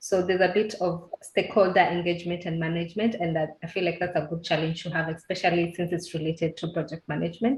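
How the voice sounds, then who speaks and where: Somewhat breathy and fairly low in pitch, a woman speaks at a very fast pace with hardly any pauses and fairly even intonation. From Kenya. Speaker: trainee project manager. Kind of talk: interview. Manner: halting.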